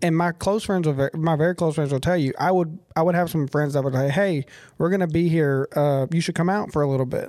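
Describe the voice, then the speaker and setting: A man with a Southern US accent, fairly high in pitch and dark, mellow in tone, with fairly even intonation and very even loudness on a very clean recording with a silent background. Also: fairly quick pace. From Tennessee. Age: 30s. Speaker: podcast host. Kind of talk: casual interview.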